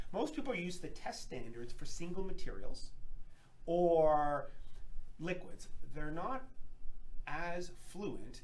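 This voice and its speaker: With light background noise, a man speaks at a high pitch with very wide pitch swings. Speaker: lab company presenter. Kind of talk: webinar presentation. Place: workshop. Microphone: camera far.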